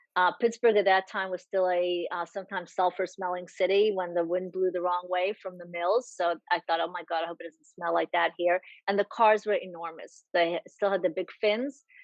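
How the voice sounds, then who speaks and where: A woman speaks at a moderate pace with a Czech accent. Her voice sits at a medium pitch, with monotone, flat intonation. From Czechoslovakia. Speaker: Holocaust survivors' daughter, speaker. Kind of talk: interview.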